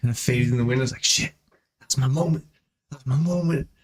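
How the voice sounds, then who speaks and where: A man talking at a very fast pace. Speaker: podcast co-host. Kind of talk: casual chat. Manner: animated.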